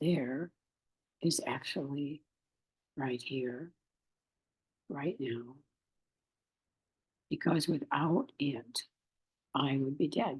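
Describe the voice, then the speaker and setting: A woman speaks at a very slow pace, with long, frequent pauses. Her tone is calm and her pitch varies in an ordinary way. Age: 80s+. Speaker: spiritual workshop leader. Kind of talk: guided meditation. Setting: Facebook live stream. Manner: slow, calm.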